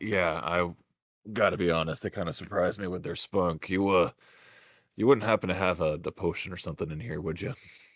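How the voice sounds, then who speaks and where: A man puts on a raspy character voice with a very deep, low pitch, talking at a fairly quick pace. The recording is very clean with a silent background, and the sound is dry and close with no echo. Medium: actual play. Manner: casual, deferential to his boss.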